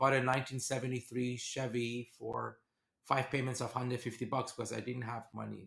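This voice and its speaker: A man talks with a Persian accent. His pitch is medium and his pace moderate. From Iran. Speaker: venture capitalist. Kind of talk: podcast interview.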